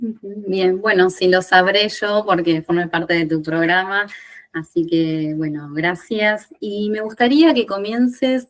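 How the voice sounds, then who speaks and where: The recording is very clean, and the background is silent. A woman talks at a very slow pace. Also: medium pitch for a woman, ordinary pitch variation. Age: 40s. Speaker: podcast host, independent professional. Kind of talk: podcast interview.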